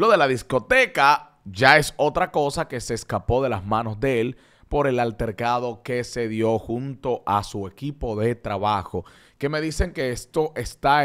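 Against a quiet background, a man speaks at a fairly slow pace with lively intonation. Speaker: entertainment show host. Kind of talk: entertainment news commentary. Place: studio. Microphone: studio mic.

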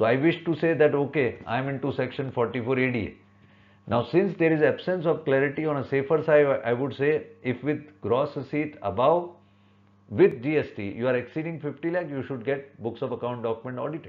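The man's voice sits fairly high with ordinary pitch variation. He speaks at a moderate pace. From India. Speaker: chartered accountant. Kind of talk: tutorial. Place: home room. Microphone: webcam.

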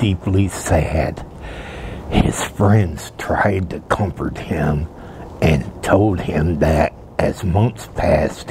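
Over light background noise, a man talks at a very slow pace with a very deep, low pitch and ordinary pitch variation. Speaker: storyteller. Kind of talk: soft-spoken story reading. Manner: soft-spoken. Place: open country. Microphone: lapel.

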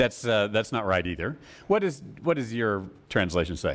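With an American accent, a man at medium pitch moves at a moderate pace while his pitch swings very widely. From United States. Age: 50s. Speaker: Bible teacher. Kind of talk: Bible study lecture. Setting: live class with audience. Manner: halting. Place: church. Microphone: lapel.

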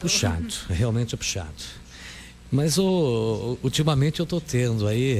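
A man speaks at a moderate pace with lively intonation and a somewhat breathy voice. The sound is dry with no echo, with light background noise. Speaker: radio announcer. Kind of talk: radio interview question. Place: studio.

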